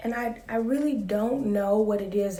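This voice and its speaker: A woman speaks in a calm tone. Audible room echo and noticeable background noise are present. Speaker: vlogger. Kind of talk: casual vlog monologue.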